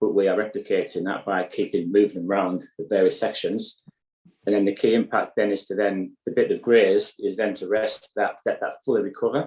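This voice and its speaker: A man with a northeast English accent at a fairly quick pace. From County Durham, northeast England. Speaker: sustainable beef farmer. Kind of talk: interview answer.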